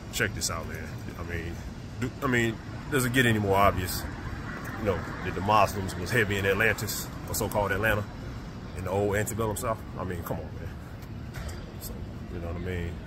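Noticeable background noise accompanies a man speaking at a fairly quick pace, the sound dry with no echo. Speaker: vlogger. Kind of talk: casual vlog chat. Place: street. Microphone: phone near.

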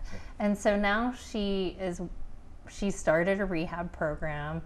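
The speaker talks with an American accent and ordinary pitch variation. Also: woman. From Pittsburgh, US. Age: 40s. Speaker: author and life coach. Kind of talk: interview. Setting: studio. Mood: warm, smiling, open. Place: studio. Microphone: lapel.

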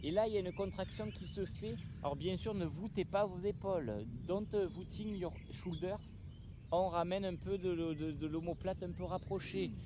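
A man's high voice over noticeable background noise. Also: dry sound with no echo. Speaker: fitness instructor. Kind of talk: exercise class coaching. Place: open country.

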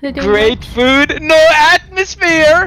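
The voice sits high in pitch. It is a put-on character voice. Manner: menacing.

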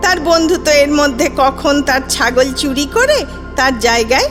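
Music plays in the background as a woman speaks with a high pitch and ordinary pitch variation. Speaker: storyteller. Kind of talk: children's fairy tale reading.

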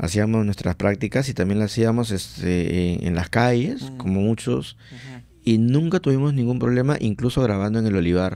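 A man with a dark, mellow tone talks at a moderate pace with hardly any pauses, and the sound is dry with no echo. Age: 40s. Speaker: podcast host. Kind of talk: casual chat. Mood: relaxed, friendly. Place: studio. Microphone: studio mic.

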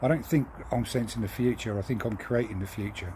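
Over light background noise, a man with a southern English accent speaks at a fairly quick pace. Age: 50s. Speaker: lorry driver. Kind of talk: video monologue. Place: garden. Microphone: phone near.

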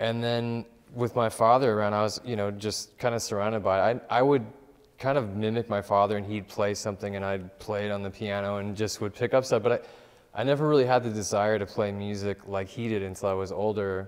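Over a quiet background, a man speaks at a fairly quick pace in a Californian accent. His fairly low pitch moves with fairly even intonation. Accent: Californian American. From Southern California. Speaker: music producer; interview guest. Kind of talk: interview. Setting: studio. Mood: calm, reflective. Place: studio. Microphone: lapel.

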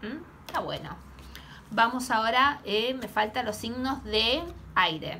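With an Argentine accent, a woman speaks at a fairly slow pace in a fairly high voice, using ordinary pitch variation and big swings in loudness over light background noise. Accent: Rioplatense Argentine Spanish. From Argentina. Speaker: tarot reader. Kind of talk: tarot reading vlog. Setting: home, camera recording. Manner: hesitant, with many fillers. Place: home room. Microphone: phone near.

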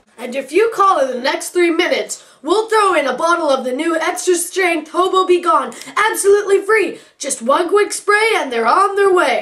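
The pitch is extremely high. The pace is moderate. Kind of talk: parody infomercial pitch. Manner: upbeat, emphatic, salesy.

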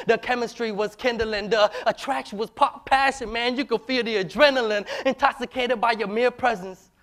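A man with a high pitch and an American accent speaks at a fairly quick pace, his intonation fairly even, over a quiet background. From US. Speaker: spoken word poet. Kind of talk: spoken word performance. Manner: rhythmic. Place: stage. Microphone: lapel.

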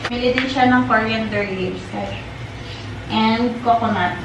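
The speech comes at a fairly slow pace. Audible room echo and noticeable background noise are present. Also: woman. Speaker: home vlogger. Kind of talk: casual vlog chat. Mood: relaxed, a bit low. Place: kitchen. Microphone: camera far.

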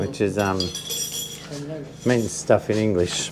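A man's intonation stays lively while light background noise sits behind him. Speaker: vlogger musician. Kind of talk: casual vlog chat. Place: home room.

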